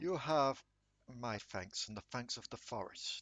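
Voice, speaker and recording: A put-on character voice comes through loud and booming. The pace is fairly slow. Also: man. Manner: comforting, warm.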